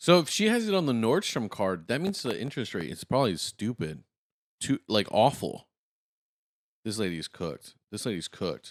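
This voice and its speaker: A man with an American accent, medium pitch, very wide pitch swings and an animated tone, at a moderate pace, in a very clean, silent recording with a dry, close sound and no echo. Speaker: reaction video host. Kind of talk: reaction commentary.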